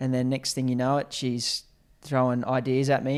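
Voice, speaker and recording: A man speaks at a moderate pace with a medium pitch and a normal speaking voice, recorded very cleanly against a silent background. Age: 20s. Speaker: carpenter and business co-founder. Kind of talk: casual chat.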